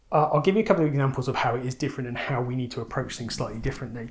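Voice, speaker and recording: Somewhat breathy, a man of medium pitch talks with fairly even intonation and an English accent. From England. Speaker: ecommerce trainer. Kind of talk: tutorial.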